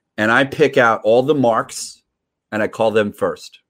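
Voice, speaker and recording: Here is a man with an ordinary speaking voice and an American accent. His medium pitch varies in an ordinary way on a very clean recording with a silent background. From New York. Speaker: sales professional. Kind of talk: interview.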